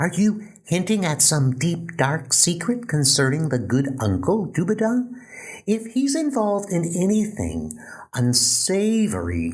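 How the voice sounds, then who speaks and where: In a put-on character voice, the speaker goes at a fairly slow pace with very wide pitch swings. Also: man, high pitch for a man. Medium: audio drama. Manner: excitable, blustering.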